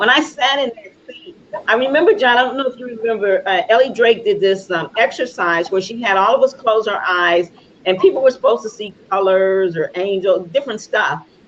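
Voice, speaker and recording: Over noticeable background noise, a woman talks at a fairly quick pace. Her intonation is lively, with big swings in loudness. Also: fairly high pitch for a woman. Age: 60s. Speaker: talk show host. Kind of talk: casual interview chat.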